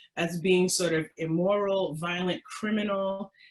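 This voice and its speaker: This is a plain, everyday voice from a woman at medium pitch. She moves at a moderate pace with ordinary pitch variation. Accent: American. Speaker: historian presenter. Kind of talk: webinar presentation. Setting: webinar.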